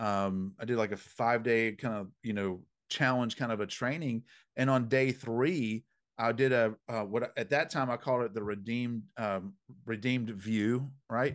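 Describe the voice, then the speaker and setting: A man in a Southern US accent, medium in pitch with fairly even intonation, at a moderate pace over a quiet background. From US South. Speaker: dream interpreter. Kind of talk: interview.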